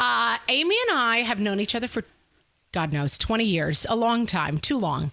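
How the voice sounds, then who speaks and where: With an American accent, this animated voice has a bright, sharp tone and vocal fry, swinging very widely in pitch while keeping very even loudness at a moderate pace. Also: woman, fairly high pitch for a woman. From US Northeast, Westchester County New York. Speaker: podcast host. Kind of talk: casual chat.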